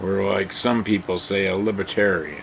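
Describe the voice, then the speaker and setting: A man with an American accent speaks at a fairly slow pace amid noticeable background noise. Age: 60s. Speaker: political commentary vlogger. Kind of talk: casual opinion monologue.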